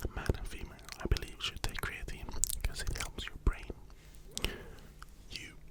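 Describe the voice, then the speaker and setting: A man whispers at a moderate pace as noticeable background noise carries on around him. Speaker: ASMR creator doing a personal trainer roleplay. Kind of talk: ASMR roleplay consultation with gym and nutrition tips. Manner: whispered, close-up, soft-spoken.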